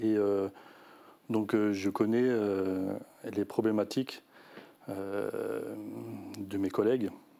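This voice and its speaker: A man speaks very slowly in a fairly low pitch, with long, frequent pauses. His tone is dark and mellow, his intonation monotone and flat. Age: 40s. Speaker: election candidate and union representative. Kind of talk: interview. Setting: studio. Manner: halting, many fillers and repetitions.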